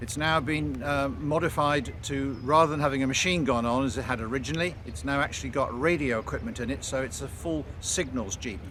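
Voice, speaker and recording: With an English accent, a man talks fairly quickly at medium pitch with lively intonation, amid audible room echo and noticeable background noise. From England. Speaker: military vehicle restorer. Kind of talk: casual explanation to camera. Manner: hesitant, many fillers.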